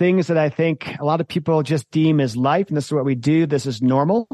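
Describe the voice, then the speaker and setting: Against a quiet background with a dry, close sound and no echo, a man with a fairly high pitch talks at a fairly quick pace with ordinary pitch variation. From US Midwest, rural Michigan near Lansing. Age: 40s. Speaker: bike traveler, former corporate finance worker. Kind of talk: casual interview chat. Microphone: professional microphone.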